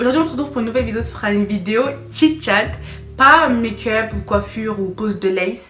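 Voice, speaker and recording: A woman's medium-pitched voice with lively intonation and a fairly quick pace, over noticeable background noise. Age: young. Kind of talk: casual talk to camera.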